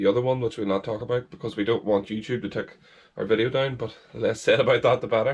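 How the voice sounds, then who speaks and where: This man's voice sits at a medium pitch and sounds somewhat breathy. He moves along at a fairly quick pace. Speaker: angling vlogger. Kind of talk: casual vlog talk to camera. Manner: hesitant with fillers.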